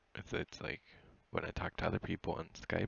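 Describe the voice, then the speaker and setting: A soft-spoken man talks with vocal fry. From New Zealand. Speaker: 3D artist streamer. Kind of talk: tutorial. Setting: live stream at home at night. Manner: casual. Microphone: wireless headset, quiet in recording.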